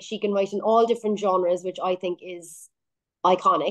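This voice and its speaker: The voice is a woman's, in an Irish accent. She keeps a moderate pace. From Ireland. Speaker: singer-songwriter. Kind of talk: radio interview.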